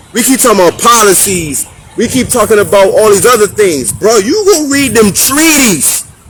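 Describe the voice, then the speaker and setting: With an American accent, a high-pitched man speaks in an animated tone with lively intonation and very even loudness, over noticeable background noise. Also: moderate pace. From Hartford, Connecticut. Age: 30s. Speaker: community talk show host. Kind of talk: street conversation monologue.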